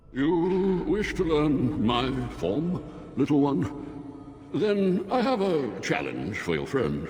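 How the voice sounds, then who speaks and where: Against clear background noise and a clear echo, a man drawls in a put-on character voice. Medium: video game. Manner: languid, drawling, bored.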